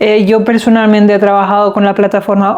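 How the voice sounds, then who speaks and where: There is noticeable background noise behind the speaker. A woman talks at a medium pitch. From Denmark. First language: Danish (speaking Spanish). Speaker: podcast co-host, business owner. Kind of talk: casual discussion.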